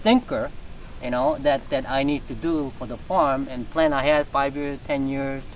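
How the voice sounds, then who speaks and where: A man's fairly slow speech is accompanied by noticeable background noise. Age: 60s. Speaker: reptile breeder. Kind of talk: casual interview.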